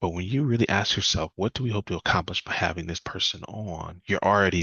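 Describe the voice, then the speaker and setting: With a very deep, low pitch, a man talks with ordinary pitch variation. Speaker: questions coach and speaker. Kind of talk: presentation talk. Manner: fast.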